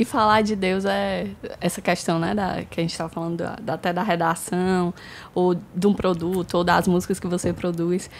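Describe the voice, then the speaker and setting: In a normal speaking voice, a woman talks at a moderate pace with fairly even intonation and a fairly low pitch, on a very clean recording with a silent background. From Brazil, São Luís, Maranhão. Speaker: marketing agency co-founder. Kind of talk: casual chat.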